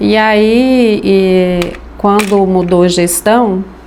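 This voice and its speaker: A woman's medium-pitched voice, varying in pitch in an ordinary way, comes through noticeable background noise and audible room echo. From Brazilian Northeast, Rio Grande do Norte; moved to Goiás at 9. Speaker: craftswoman. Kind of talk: personal life story interview.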